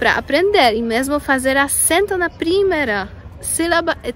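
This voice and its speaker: Through noticeable background noise, a woman with a Polish accent speaks at a very slow pace. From Poland. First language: Polish (speaking Portuguese). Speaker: vlogger. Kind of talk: casual vlog. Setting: outdoors in a park. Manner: halting.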